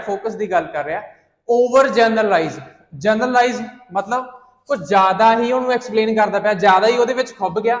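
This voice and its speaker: In a room with audible echo, a man talks at a moderate pace in a high voice. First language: Punjabi (speaking Hindi). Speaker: IELTS teacher. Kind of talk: lecture.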